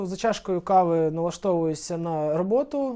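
A man's dark, mellow tone with lively intonation. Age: 20s. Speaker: veterinary anesthesiologist. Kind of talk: interview answers.

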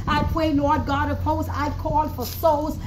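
Loud background noise surrounds a woman talking at a fairly slow pace. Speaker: prayer leader. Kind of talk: fervent intercessory prayer, spiritual warfare style. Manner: fervent, emphatic, pleading, rising in intensity as commanding declarations. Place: street. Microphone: camera far.

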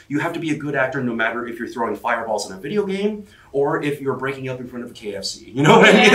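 A man at a very fast pace, with audible room echo. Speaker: voice actor guest. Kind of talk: interview answer. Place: hall.

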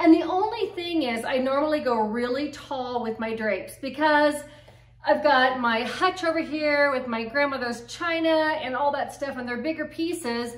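In a room with audible echo, a woman speaks at a moderate pace in a high pitch with ordinary pitch variation. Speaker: home decor vlogger. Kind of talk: casual vlog chat. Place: home room. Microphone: camera far.

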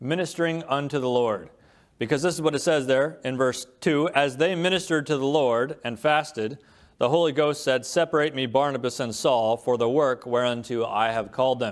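Fairly quick speech with ordinary pitch variation against a quiet background. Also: man. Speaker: preacher. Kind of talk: sermon. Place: church. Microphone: podium.

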